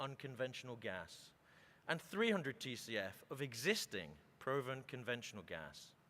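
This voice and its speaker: A man with a British accent speaks at a moderate pace in a medium pitch, his bright, sharp tone touched with vocal fry. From Britain. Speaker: oil and gas executive. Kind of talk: conference keynote speech. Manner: formal.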